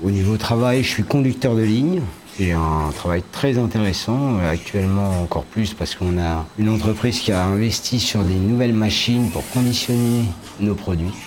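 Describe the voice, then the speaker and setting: Over noticeable background noise, a man with a fairly low pitch talks at a moderate pace, with very even loudness and ordinary pitch variation. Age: 50s. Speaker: factory line operator. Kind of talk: interview.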